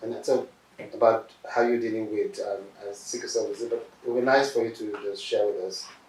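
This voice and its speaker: A man with a Nigerian accent at a fairly quick pace, against noticeable background noise. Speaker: professor, doctor interviewing a patient. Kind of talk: interview. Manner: hesitant, many fillers.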